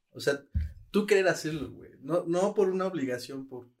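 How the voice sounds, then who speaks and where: A man with a Mexican accent speaks at a moderate pace in a fairly high pitch. His pitch swings very widely. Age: 20s. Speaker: podcast co-host. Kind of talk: casual chat.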